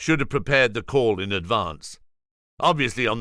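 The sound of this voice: An unforced reading voice with lively intonation comes through over a quiet background.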